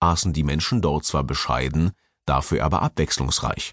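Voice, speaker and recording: A man's dramatic tone with vocal fry, dry and close with no echo, against a quiet background. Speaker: audiobook narrator. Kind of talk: scripted audiobook narration, wry travel essay. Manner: dramatic, sardonic, tongue-in-cheek, with pointed emphasis.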